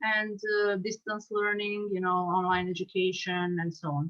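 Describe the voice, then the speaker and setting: Speaking at a moderate pace with a Serbian accent, a woman uses a medium pitch and ordinary pitch variation. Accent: Serbian accent, noticeable. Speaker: subtitle translator and teacher. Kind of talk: casual chat. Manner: halting, many fillers.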